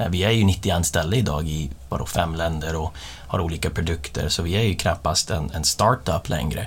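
Very deep and low in pitch, a man speaks with an English accent and vocal fry, his pitch varying in an ordinary way. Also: moderate pace. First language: English (speaking Swedish). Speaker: company executive. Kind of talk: casual interview. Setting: studio. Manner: halting.

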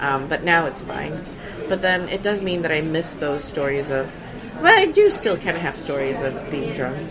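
With noticeable background noise behind her, a woman speaks in a very deep, low pitch. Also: ordinary pitch variation, moderate pace. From Sweden. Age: 30s. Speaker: comedian. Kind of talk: casual chat. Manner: halting.

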